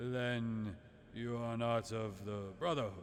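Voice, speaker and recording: Clear background noise sits behind a put-on character voice. The pace is fairly slow. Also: man. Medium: read story. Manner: boastful, dismissive.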